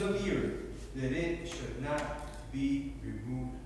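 Strong room echo fills the recording, along with light background noise. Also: man. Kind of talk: scripture reading and opening prayer. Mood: solemn, reverent. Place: church.

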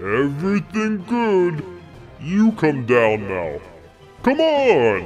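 Over clear music in the background, a man puts on a character voice at a fairly high pitch. He speaks at a very slow pace with long, frequent pauses.

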